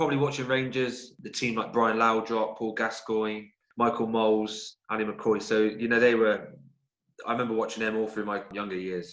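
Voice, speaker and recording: At a moderate pace with fairly even intonation, the voice carries audible room echo. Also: man, medium pitch for a man. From Somerset, southwest England. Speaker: footballer. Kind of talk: podcast interview.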